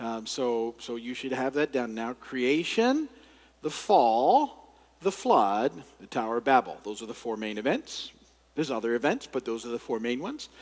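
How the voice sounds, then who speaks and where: A man with an ordinary speaking voice, a medium pitch, ordinary pitch variation, big swings in loudness and a moderate pace. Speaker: pastor, Bible teacher. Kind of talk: Bible study lecture.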